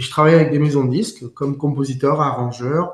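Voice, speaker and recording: Talking at a fairly quick pace, a man has a fairly high pitch. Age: 50s. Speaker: musician and composer. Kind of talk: interview. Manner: hesitant, many fillers.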